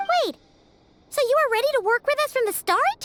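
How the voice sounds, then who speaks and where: A woman's put-on character voice, extremely high in pitch, at a moderate pace with very even loudness and a dry, close sound with no echo. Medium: video game. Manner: speaks of herself in third person.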